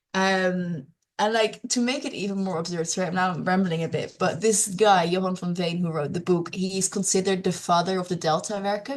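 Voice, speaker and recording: The speaker, with a Dutch accent, sounds somewhat breathy and talks at a fairly quick pace with fairly even intonation. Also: woman. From Netherlands. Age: young. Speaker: climate and peatland advocate. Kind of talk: online presentation. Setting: online meeting.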